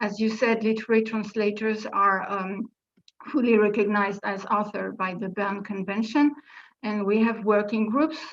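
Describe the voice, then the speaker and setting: Speech comes at a medium tempo. Its melody barely rises or falls. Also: woman, fairly high pitch for a woman. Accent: French. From France. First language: French. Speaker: literary translator, panel speaker. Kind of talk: conference presentation. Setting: video conference. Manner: hesitant, many fillers.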